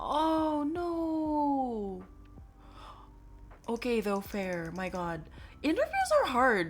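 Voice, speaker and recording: At a very slow pace with long, frequent pauses, a woman with an American accent speaks high, her pitch swinging very widely. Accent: American, noted by chat. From born in US, Filipino family, studying in Philippines. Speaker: medical student streamer. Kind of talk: casual chat.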